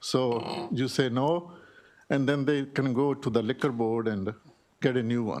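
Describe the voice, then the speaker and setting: A man with an ordinary speaking voice talks at a fairly slow pace, his medium pitch showing ordinary variation. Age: 60s. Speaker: small business owner testifying. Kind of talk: legislative testimony. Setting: committee hearing room. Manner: pleading, emotional.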